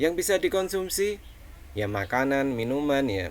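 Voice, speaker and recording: With a Javanese accent, a man talks at a fairly slow pace in a fairly high pitch with very wide swings. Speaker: college lecturer. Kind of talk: online lecture. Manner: casual, many fillers.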